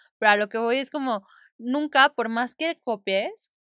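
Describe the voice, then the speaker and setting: On a very clean recording with a silent background, a woman with a fairly high pitch and a bright, sharp tone speaks very slowly, with ordinary pitch variation, in a dry, close sound with no echo. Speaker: podcast host and therapist. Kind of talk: guided meditation; casual chat.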